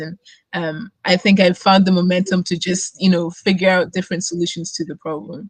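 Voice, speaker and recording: A woman talks in a monotone, flat delivery at a medium pitch, somewhat breathy. The sound is dry and close, with no echo. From Germany and Scotland, born in Nigeria. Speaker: student community co-founder. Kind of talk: interview. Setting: live stream.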